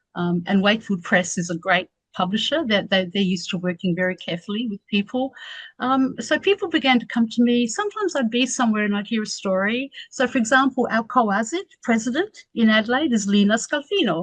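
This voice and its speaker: A woman talks at a fairly quick pace with lively intonation and a fairly high pitch. Her voice is somewhat breathy, the sound dry and close with no echo. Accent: Australian. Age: 60s. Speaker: academic researcher. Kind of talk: radio interview.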